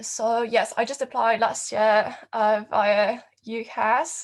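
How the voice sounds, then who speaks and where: A woman with a French accent talks at a fairly high pitch. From France. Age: 20s. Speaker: design student. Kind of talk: artist talk presentation.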